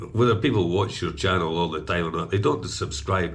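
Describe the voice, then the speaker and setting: A man speaks in a somewhat breathy voice within audible room echo. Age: 60s. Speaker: vlogger. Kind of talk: casual chat. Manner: halting, many fillers.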